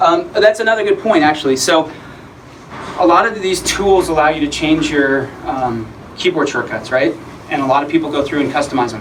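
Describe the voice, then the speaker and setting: Over noticeable background noise, a man with a fairly high pitch and lively intonation speaks at a fairly quick pace. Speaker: conference presenter. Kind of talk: presentation with audience Q&A. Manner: fast; casual, filler-heavy.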